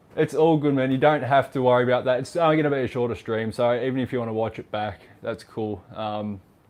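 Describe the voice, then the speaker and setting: A man talks at a very fast pace with hardly any pauses, in an Australian accent. His pitch varies in an ordinary way. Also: medium pitch for a man. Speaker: vlogger. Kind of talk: livestream chat. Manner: casual.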